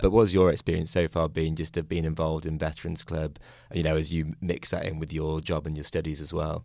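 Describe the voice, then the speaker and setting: Very fast speech comes from a man with a British accent and a very deep, low pitch, on a very clean recording with a silent background. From United Kingdom. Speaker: podcast host, MBA student. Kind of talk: interview.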